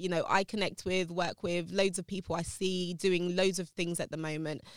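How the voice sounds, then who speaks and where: In a London accent, a woman speaks at medium pitch and a moderate pace with fairly even intonation, captured in a dry, close sound with no echo on a very clean recording with a silent background. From South London, England. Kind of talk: interview conversation.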